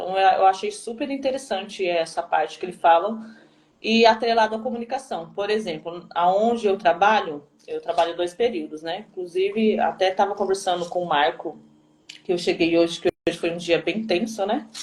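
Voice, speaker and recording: A woman speaks in an unremarkable speaking voice at a medium pitch. Her pace is moderate, with ordinary pitch variation. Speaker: teacher. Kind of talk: live stream talk.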